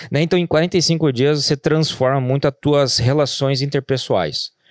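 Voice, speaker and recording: A man's moderately paced speech has a dry sound with no echo and a quiet background. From Rio Grande do Sul, Brazil. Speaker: business founder, franchise entrepreneur; podcast guest. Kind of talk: podcast interview. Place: studio. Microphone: studio mic.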